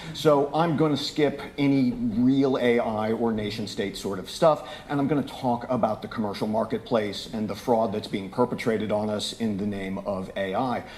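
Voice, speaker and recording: A man talks at a moderate pace and medium pitch. His pitch varies in an ordinary way, with noticeable background noise behind him. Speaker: conference speaker. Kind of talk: keynote talk. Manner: loud; animated.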